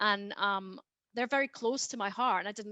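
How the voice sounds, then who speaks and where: A woman with a Scottish accent has a bright, sharp tone and medium pitch with ordinary variation. The sound is dry and close with no echo, over a quiet background. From Scotland. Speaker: genetic genealogist. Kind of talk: interview. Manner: hesitant, many fillers.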